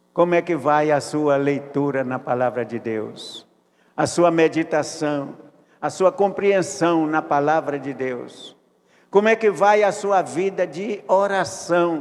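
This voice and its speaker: Very slowly, a man gets his words out. His voice is fairly high and shows ordinary pitch variation. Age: 80s+. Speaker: pastor. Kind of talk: sermon. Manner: repetitive, halting.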